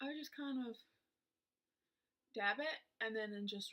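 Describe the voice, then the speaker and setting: A woman with an American accent speaks at a fairly slow pace in a high, bright, sharp voice. Her pitch swings very widely. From US South, South Georgia. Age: 20s. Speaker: beauty vlogger. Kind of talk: casual chat. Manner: hesitant, many fillers.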